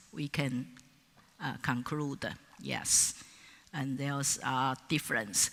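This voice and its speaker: Speaking very slowly, a woman with a non-native accent has a bright, sharp tone. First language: Mandarin Chinese. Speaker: professor. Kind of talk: conference keynote lecture. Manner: halting, with many fillers.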